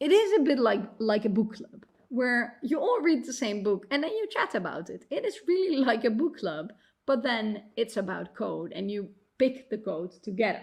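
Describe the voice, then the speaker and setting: Her pitch fairly high and swinging very widely, a woman with a non-native accent speaks at a moderate pace. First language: not English. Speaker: computer science professor and author. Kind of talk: conference talk.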